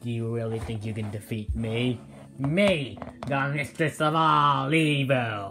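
Over clear background noise, a put-on character voice speaks at a fairly slow pace in a low-to-middle pitch. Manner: haughty, menacing.

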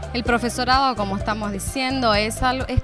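With music in the background, a woman's voice comes through with a dry sound and no echo. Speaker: dance teacher or organiser interviewed. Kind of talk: interview answer. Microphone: handheld.

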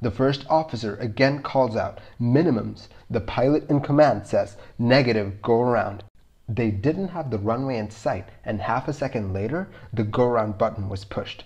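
A man speaks at a moderate pace in a somewhat breathy, medium-pitched voice with ordinary pitch variation against a quiet background. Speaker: video narrator. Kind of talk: scripted documentary narration of an air disaster. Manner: measured, even, matter-of-fact; clear, explanatory.

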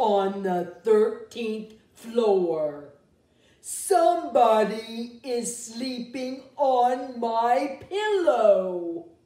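A female-sounding, put-on character voice speaks at a very slow pace. There is a slight echo. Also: fairly high pitch for a woman.

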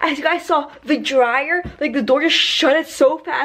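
The speaker is a woman. She talks at a moderate speed. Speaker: vlogger. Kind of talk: casual vlog chat. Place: home room. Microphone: phone near.

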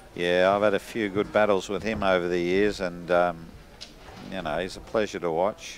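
Speaking in an Australian accent, a man keeps a monotone, flat delivery at a very deep, low pitch. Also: moderate pace. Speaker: sports commentator. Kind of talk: live sports commentary. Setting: billiards club.

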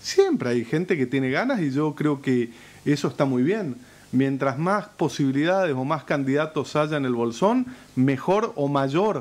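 The man's intonation is lively. He talks at a fairly slow pace. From Argentina. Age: 40s. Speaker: mayor. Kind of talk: interview. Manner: halting. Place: studio. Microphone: studio mic.

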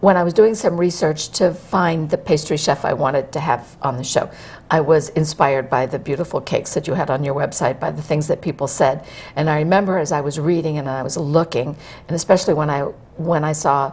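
A woman talks at a fairly quick pace. Her pitch is very deep and low, with ordinary variation. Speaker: TV show host. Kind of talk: interview host talk. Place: studio.

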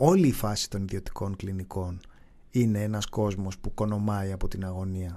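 A man with a fairly low pitch, a dark, mellow tone and lively intonation, at a moderate pace against a quiet background. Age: 40s. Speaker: podcast co-host. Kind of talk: casual chat. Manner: laughing.

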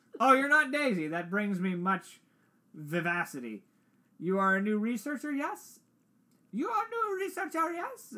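The speaker uses a put-on character voice at a fairly high pitch. Long, frequent pauses break up the speech. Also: moderate pace.

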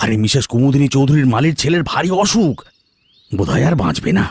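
Putting on a character voice, a man at a medium pitch swings his pitch very widely while keeping his loudness very even at a moderate pace. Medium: audio drama.

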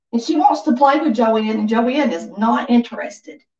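The speaker has an American accent and a lively, varied intonation. The pace is fairly slow, with audible echo from the room. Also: woman, quiet background. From US South. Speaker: livestream vlogger. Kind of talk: casual chat. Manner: chatty, informal. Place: home room.

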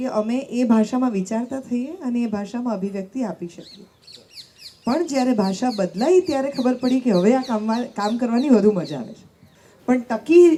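Amid noticeable background noise, a woman with a high pitch speaks with lively intonation and big swings in loudness. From Gujarat. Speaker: radio jockey. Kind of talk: panel discussion.

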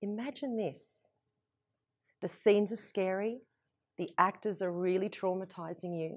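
The delivery comes at a fairly slow pace. Its pitch varies in an ordinary way. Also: woman. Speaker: motivational speaker. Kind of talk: motivational talk to an audience. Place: studio. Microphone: lapel.

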